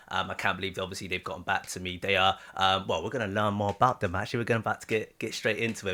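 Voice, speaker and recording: In a very clean recording with a silent background, a man with an English accent speaks in a bright, sharp tone. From UK. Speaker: reaction channel host, interviewer. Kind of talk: interview. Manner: halting, many fillers.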